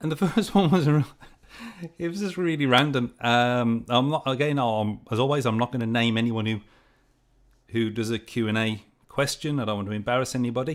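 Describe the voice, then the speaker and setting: A man with an English accent and a medium-pitched voice speaks at a fairly quick pace with ordinary pitch variation, in a very clean recording with a silent background. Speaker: project management youtuber. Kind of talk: livestream Q&A. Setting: livestream. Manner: hesitant, many fillers.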